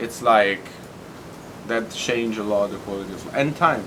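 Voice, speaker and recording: Over noticeable background noise, a man speaks with an Italian accent at a moderate pace and with ordinary pitch variation. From Tuscany, Italy. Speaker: bartender. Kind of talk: interview answer.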